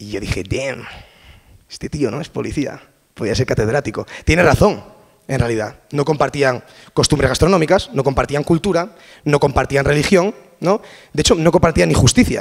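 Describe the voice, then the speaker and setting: Lively intonation marks this man's fairly high-pitched voice at a moderate pace. His loudness swings widely, and his pauses are long and frequent. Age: 20s. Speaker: language and communication researcher. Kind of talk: conference talk. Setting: stage with audience. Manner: casual.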